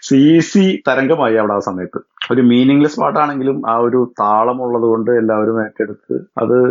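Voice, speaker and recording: A man's medium-pitched voice, an ordinary speaking voice with ordinary pitch variation. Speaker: engineering college alumnus. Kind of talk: casual interview. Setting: phone call.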